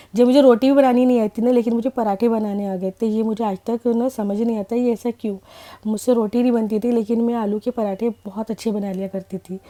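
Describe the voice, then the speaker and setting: In a dry, close recording with no echo, a woman speaks at a moderate pace with a fairly high pitch, a dark, mellow tone and flat, monotone intonation. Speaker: vlogger. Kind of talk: vlog voiceover. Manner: casual, chatty.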